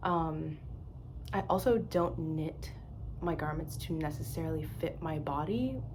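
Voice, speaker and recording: There is audible room echo. Through it, a woman talks. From US East Coast. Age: 20s. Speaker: knitting podcaster. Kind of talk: casual vlog monologue. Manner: casual, hesitant with fillers.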